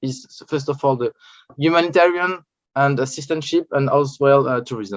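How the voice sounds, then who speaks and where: A man with a French accent speaks at a moderate pace in a fairly high voice, recorded dry and close with no echo. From France. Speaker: journalist and researcher. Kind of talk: conference talk. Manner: halting, many hesitations.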